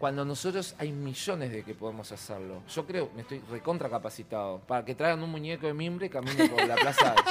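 Over noticeable background noise, a fairly high-pitched man talks at a fairly quick pace with hardly any pauses. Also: lively intonation. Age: 50s. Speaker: theatre producer and costume designer. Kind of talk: interview. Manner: animated.

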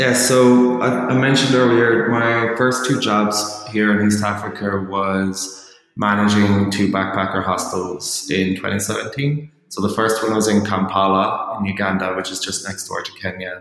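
In an Irish accent, a man with a fairly low pitch speaks at a fairly slow pace, hardly pausing, his intonation fairly even. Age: 30s. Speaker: freelance ghostwriter. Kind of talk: interview.

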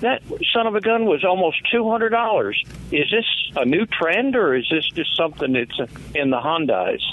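Noticeable background noise runs under a man speaking at a fairly slow pace with a Mississippi accent. His high pitch moves through very wide pitch swings. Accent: Southern US (Mississippi). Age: 60s. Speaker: caller. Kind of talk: phone-in question. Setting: phone call.

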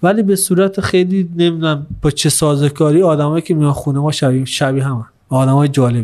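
At a very fast pace with hardly any pauses, a man speaks in a fairly high pitch. His pitch variation is ordinary. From Iran, Zeinabad. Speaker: eco-lodge owner. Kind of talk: casual interview.

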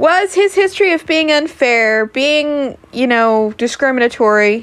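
Her pitch sits high for a woman. Very wide swings run through it as she speaks. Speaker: podcaster and streamer. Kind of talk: casual monologue. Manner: loud; animated.

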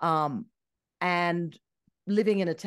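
A woman with an Australian accent speaks in an animated tone at a fairly low pitch. The background is quiet. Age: 50s. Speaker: travel and ski journalist. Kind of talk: casual chat.

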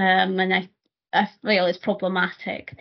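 Speaking with a Scottish accent, a woman uses a medium pitch. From Scotland. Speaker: nurse and PhD student. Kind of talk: interview conversation.

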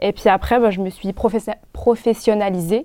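A woman speaks with vocal fry at a medium pitch and moderate pace, her intonation fairly even, on a very clean recording with a silent background. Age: 20s. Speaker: illustrator and footwear designer. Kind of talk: casual chat.

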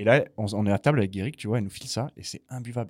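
With a fairly low pitch, a man talks very fast in a very clean recording with a silent background. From Toulouse, southwestern France. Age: 20s. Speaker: customer success manager. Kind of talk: casual chat.

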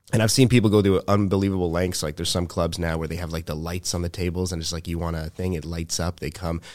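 With a Montreal accent, a man talks very fast at a very deep, low pitch, with hardly any pauses and fairly even intonation, on a very clean recording with a silent background. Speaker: comedian and musician. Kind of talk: casual chat.

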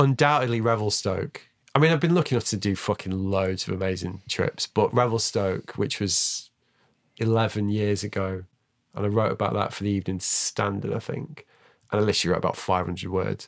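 A man with a Mancunian accent speaks at a fairly quick pace in a fairly low voice with ordinary pitch variation. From Manchester, England. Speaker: podcast host and snowboard journalist. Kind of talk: casual interview chat. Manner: halting, many false starts.

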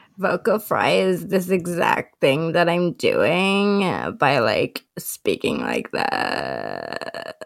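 A creaky, put-on character voice moves at a very slow pace with hardly any pauses.

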